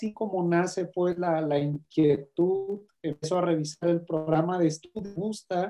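A man with a Mexican accent talks at a high pitch and a fairly slow pace. His intonation is fairly even, with hardly any pauses. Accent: Mexican Spanish (Jalisco). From Mexico, Guadalajara, Jalisco. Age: 30s. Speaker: university program coordinator. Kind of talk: interview.

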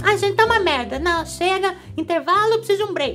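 Putting on a character voice at an extremely high pitch, a woman talks at a fairly quick pace with clear music in the background. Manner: harsh, rude.

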